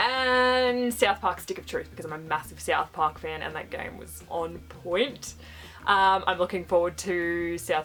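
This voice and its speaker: Music plays in the background as a woman with an Australian accent speaks at a moderate pace. Her loudness swings widely. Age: 20s. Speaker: vlogger. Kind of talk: casual vlog introduction.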